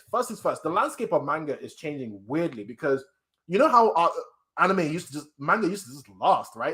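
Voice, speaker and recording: A man with an English accent talks very fast in a high pitch, animated in tone and swinging very widely in pitch. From England. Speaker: anime and manga streamer. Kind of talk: casual live-stream reaction chat. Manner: animated, casual.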